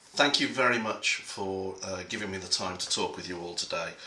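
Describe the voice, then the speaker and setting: Amid audible room echo and noticeable background noise, a man talks at a moderate speed. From England. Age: middle-aged. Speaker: conference speaker. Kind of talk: prepared talk. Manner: halting.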